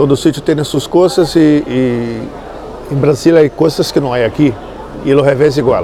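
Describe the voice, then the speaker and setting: Amid noticeable background noise and audible room echo, a man with a fairly high pitch talks at a fairly slow pace with fairly even intonation. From Brazil, Niterói near Rio de Janeiro. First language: Portuguese (speaking Spanish). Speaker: musician. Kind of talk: casual interview. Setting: in-person interview filmed with 360 camera.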